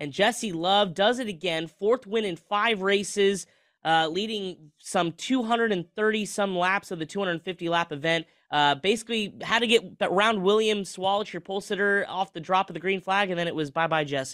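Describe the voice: A man speaks at a high pitch with a fairly bright tone. His pace is moderate. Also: ordinary pitch variation.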